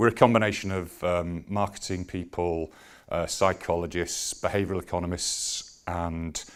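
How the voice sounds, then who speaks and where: A man with a Yorkshire accent talks at a moderate pace in a very deep, low voice, his intonation fairly even. The recording is very clean, with a silent background. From Yorkshire, Leeds. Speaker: business executive. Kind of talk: conference presentation. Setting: stage with audience. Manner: hesitant, many fillers.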